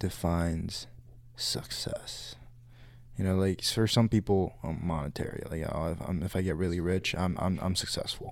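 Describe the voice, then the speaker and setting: Here a man talks with an American accent. His pitch is very deep and low, with ordinary variation. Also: moderate pace. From California. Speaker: college student podcast co-host. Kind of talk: casual chat.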